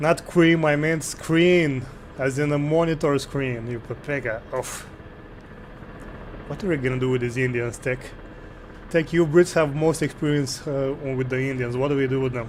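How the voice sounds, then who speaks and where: With a Romanian accent, a man with a fairly high pitch talks at a moderate pace and fairly even intonation, leaving long, frequent pauses amid noticeable background noise. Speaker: gaming streamer. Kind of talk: live gameplay stream with chat. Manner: casual, thinking aloud.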